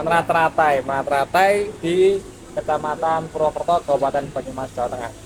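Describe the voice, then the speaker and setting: Noticeable background noise surrounds a man talking very fast. His pitch is fairly high and his intonation fairly even. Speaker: podcast host. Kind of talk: podcast interview.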